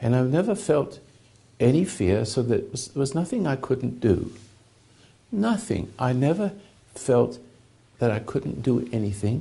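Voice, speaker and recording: With a dark, mellow tone and vocal fry, the voice moves at a fairly slow pace through very wide pitch swings and long, frequent pauses. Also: man, medium pitch for a man. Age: 80s+. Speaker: spiritual teacher. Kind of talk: talk. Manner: halting.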